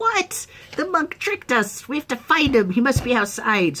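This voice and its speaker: A female-sounding voice puts on a character, pitched high. She speaks at a moderate pace. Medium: solo performance. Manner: hungry, menacing.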